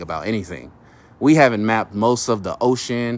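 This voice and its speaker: A man with an unremarkable speaking voice talks at a medium pitch and a moderate pace. His recording is very clean, with a silent background. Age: 30s. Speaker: live streamer. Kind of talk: livestream talk to audience. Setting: outdoors at night, near his car. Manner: casual, with many fillers and restarts.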